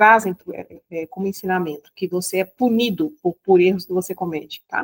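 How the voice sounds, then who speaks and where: A woman at a moderate pace with ordinary pitch variation, recorded dry and close with no echo. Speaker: spiritual teacher. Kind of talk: lecture. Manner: halting.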